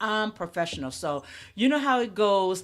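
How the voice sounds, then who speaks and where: A woman with a plain, everyday voice speaks at a medium pitch with lively intonation, in a very clean recording with a silent background. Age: 60s. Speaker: podcaster. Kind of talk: interview.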